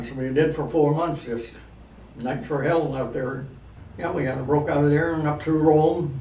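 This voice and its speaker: Over noticeable background noise, a man with a fairly high pitch speaks at a moderate pace with fairly even intonation. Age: 80s+. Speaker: war veteran. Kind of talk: interview answer.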